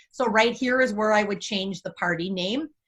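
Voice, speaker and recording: A woman's fairly high-pitched voice, a normal speaking voice. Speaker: direct sales team leader. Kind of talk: training tutorial.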